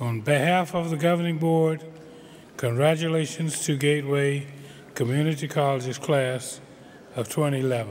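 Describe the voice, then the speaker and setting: The speech moves at a moderate pace with fairly even intonation and long, frequent pauses. Noticeable background noise and audible room echo come through. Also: man, fairly high pitch for a man. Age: 70s. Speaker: community college governing board member. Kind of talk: commencement speech. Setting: graduation ceremony.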